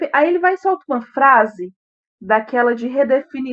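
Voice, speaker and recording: A woman speaks at a moderate pace with lively intonation and a high pitch. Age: 20s. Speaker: book podcast co-host. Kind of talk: casual book discussion.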